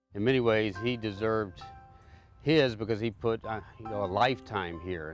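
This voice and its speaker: A man's fairly low voice at a moderate pace, with ordinary pitch variation and music in the background. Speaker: seminary student who rebuilt a historic wall. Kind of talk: interview answer. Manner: hesitant, reflective, with filler words.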